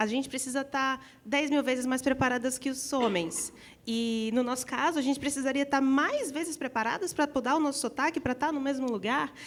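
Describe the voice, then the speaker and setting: With a northeastern Brazilian accent, the speaker keeps a moderate pace and ordinary pitch variation. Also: woman. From Northeast Brazil. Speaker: panelist in gaming industry. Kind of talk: panel discussion.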